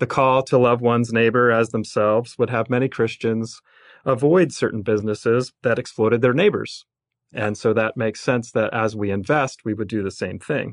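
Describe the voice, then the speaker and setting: A man's normal speaking voice at medium pitch, with a moderate pace, fairly even intonation and a quiet background. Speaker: mutual fund company president. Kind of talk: interview. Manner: formal.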